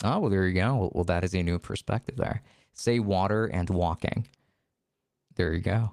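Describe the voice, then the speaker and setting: Speaking at a moderate pace with long, frequent pauses, a man with a very deep, low pitch keeps his loudness very even and his pitch variation ordinary, in a dry, close sound with no echo. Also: very clean recording, silent background. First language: not English. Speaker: streamer. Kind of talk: casual chat. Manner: halting.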